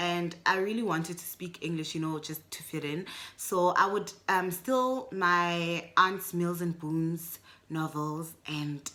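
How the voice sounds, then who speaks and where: In a Botswana accent, a woman talks at a fairly slow pace with ordinary pitch variation. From South Africa. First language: Setswana. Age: adult. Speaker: booktuber. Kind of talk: casual video book review. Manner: chatty, with frequent fillers.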